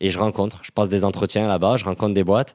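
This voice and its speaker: A man's normal speaking voice, fairly low in pitch and fairly quick, on a very clean recording with a silent background. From southern France, Toulouse. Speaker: startup employee. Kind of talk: podcast interview testimony. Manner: casual, many fillers.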